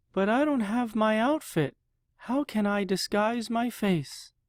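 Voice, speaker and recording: A put-on character voice at a fairly high pitch and fairly slow pace, in a very clean recording with a silent background. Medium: read story. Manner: hesitant, self-doubting.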